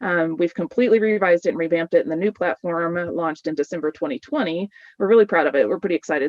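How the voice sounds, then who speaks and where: A woman with a fairly low voice talks at a very fast pace, using ordinary pitch variation. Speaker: dietitian giving a webinar talk. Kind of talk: webinar presentation. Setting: video webinar. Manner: animated.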